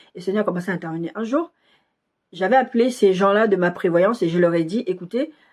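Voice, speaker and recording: Talking at a very fast pace, a woman uses a medium pitch with ordinary pitch variation. The recording is very clean, with a silent background. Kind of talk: sermon with personal testimony. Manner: soft-spoken.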